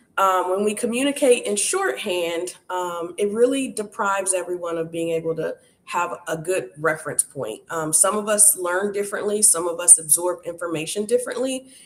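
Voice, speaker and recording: Noticeable background noise runs under a woman's voice. She talks at medium pitch and a moderate pace with ordinary pitch variation. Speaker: workshop host.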